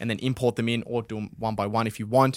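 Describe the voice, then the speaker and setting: Recorded with a dry, close sound and no echo, a man with an Australian accent speaks at a very fast pace. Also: very clean recording, silent background. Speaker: podcast host. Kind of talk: casual chat. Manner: casual, filler-heavy.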